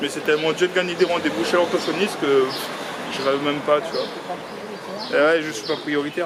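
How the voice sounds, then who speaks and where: A man mumbling at a moderate pace over noticeable background noise. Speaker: vlogger. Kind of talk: casual vlog narration. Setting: outdoors walking in town. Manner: loud; mumbled, poorly articulated.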